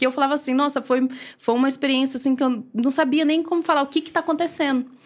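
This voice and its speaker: A woman's voice in a very clean recording with a silent background. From Maranhão, northeastern Brazil. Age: 30s. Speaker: church deaconess. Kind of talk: testimony in interview.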